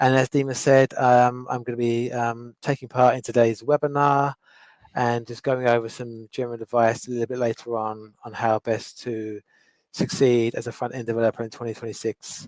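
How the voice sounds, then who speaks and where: A man's medium-pitched voice, monotone and flat, at a moderate pace, with a dry, close sound and no echo. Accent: London. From London, England. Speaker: web development instructor. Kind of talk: webinar presentation. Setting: online webinar.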